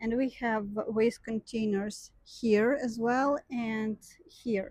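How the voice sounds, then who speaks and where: Speaking very slowly, a woman uses a fairly high, somewhat breathy voice with fairly even intonation, recorded dry and close with no echo. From Ukraine. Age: young. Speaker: vlogger. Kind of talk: casual vlog talk. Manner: hesitant, many fillers.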